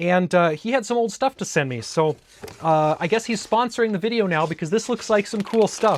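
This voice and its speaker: With a northern US accent, the speaker talks at a fairly quick pace with lively intonation over noticeable background noise. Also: man, high pitch for a man. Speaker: tech YouTuber. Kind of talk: casual unboxing video. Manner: casual, with many fillers.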